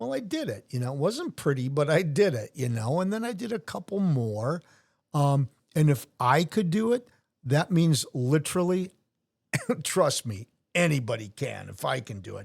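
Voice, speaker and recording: On a very clean recording with a silent background, a somewhat breathy man with a fairly high pitch and very wide pitch swings speaks at a moderate pace. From US Midwest, Wisconsin (Brookfield). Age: 60s. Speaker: retired sheriff's officer and Ironman athlete. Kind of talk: casual interview chat.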